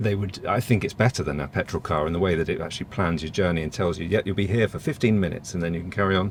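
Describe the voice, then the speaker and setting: A man with an English accent talks at a very fast pace with hardly any pauses. His pitch is very deep and low, with ordinary pitch variation. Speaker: EV reviewer. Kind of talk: casual chat.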